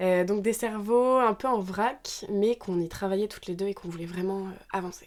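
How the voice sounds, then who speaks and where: A woman at medium pitch speaks at a moderate pace with fairly even intonation and big swings in loudness. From Normandy, France. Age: 20s. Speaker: podcast co-host. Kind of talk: casual chat.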